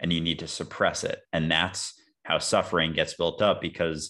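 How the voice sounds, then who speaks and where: A man is speaking. The background is quiet. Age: 20s. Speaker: social media content creator. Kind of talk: casual chat.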